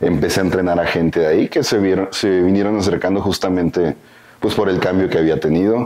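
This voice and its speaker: A man with a very deep, low pitch talks at a fairly quick pace, his intonation fairly even and his loudness very even. Noticeable background noise is present. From northern Mexico, Coahuila. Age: 20s. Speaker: bodybuilding coach. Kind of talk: interview.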